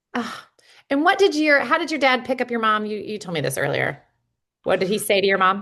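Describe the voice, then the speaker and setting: A woman's bright, sharp voice, fairly high and touched with vocal fry, very wide pitch swings at a fairly quick pace over a quiet background. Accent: Midwestern American. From US Midwest. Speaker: podcast host. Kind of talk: podcast interview.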